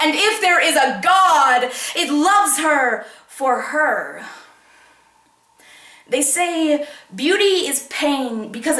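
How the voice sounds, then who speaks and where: Over noticeable background noise, a woman talks with lively intonation and a high pitch. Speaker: slam poet. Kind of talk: slam poetry performance.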